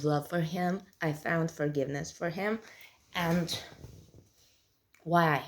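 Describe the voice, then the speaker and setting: A woman with a southern European accent speaks very slowly, her fairly low voice held to fairly even intonation. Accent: southern European, non-native English. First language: not English. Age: 30s. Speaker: vlogger. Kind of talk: casual monologue. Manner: halting.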